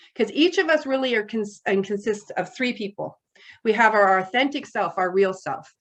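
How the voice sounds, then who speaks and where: A woman's fairly high voice, lively in intonation, at a fairly quick pace. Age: 60s. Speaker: person in addiction recovery sharing her experience. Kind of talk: recovery share, testimony. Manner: occasional pauses searching for words.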